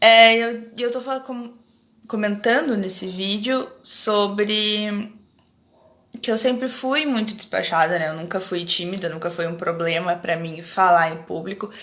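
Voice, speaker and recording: Fairly slow speech from a woman, pitched in her middle range, with room echo clearly audible. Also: ordinary pitch variation. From Rio Grande do Sul, Brazil (Alegrete). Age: 30s. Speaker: academic researcher, anthropologist. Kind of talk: casual live-stream chat. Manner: hesitant with pauses.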